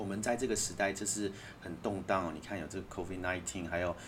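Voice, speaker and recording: A man speaks with a Taiwanese accent at a very deep, low pitch. His intonation stays fairly even, and audible room echo surrounds him. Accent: Taiwanese Mandarin. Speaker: author. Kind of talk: casual chat.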